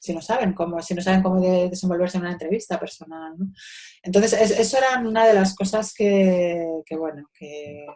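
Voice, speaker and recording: A woman talks at a fairly quick pace in a medium pitch with a dark, mellow tone. Her pitch varies in an ordinary way, but her loudness swings widely. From Spain, Madrid. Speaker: social educator. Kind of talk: interview. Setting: video call. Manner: halting.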